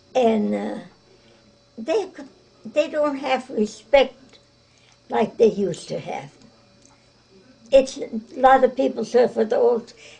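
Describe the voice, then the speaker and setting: A woman talks at a fairly slow pace with long, frequent pauses, in an American accent. Her voice is high-pitched, with lively intonation. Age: 80s+. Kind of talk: interview answer.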